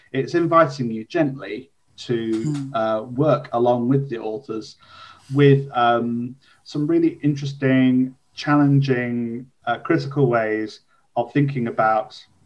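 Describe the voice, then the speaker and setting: Speaking at a very slow pace, a man with an English Midlands accent uses a medium pitch and fairly even intonation. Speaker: podcast host. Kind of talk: conversational, warm.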